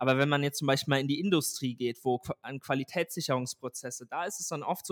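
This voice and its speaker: Fairly high for a man, a plain, everyday voice with ordinary pitch variation is captured in a very clean, dry, close recording with a silent background and no echo. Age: 20s. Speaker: tech startup founder. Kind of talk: interview. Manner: frequent filler sounds.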